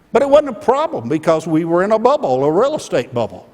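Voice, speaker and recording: A man with an Alabama accent, lively intonation and a moderate pace. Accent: Southern US (Alabama). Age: 60s. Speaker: keynote speaker, former company executive. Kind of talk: keynote speech. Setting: conference stage with audience.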